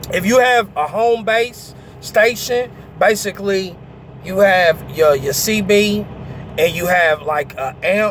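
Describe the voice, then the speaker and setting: A man speaks in a high voice for a man. Noticeable background noise runs underneath. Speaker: truck driver and vlogger. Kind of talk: casual storytelling vlog. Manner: hesitant, many fillers.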